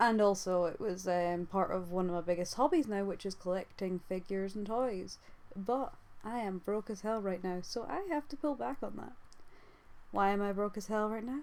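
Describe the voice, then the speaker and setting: Mumbling at a moderate pace, a woman speaks at a medium pitch with ordinary pitch variation. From UK. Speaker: YouTuber and artist. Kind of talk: casual vlog monologue. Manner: halting.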